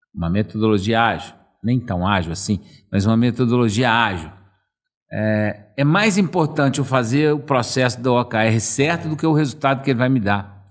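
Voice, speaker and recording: With lively intonation, the man talks at a medium pitch. His pace is moderate. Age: 60s. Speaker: management consultant. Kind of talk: casual chat.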